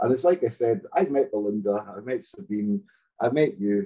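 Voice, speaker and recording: Over a quiet background, a man with a Hebridean accent speaks at a moderate pace and medium pitch, his pitch swinging very widely. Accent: Hebridean Scottish. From Scotland, Outer Hebrides (Stornoway). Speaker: storyteller guest. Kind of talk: casual chat. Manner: animated, profane. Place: home room. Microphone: video call.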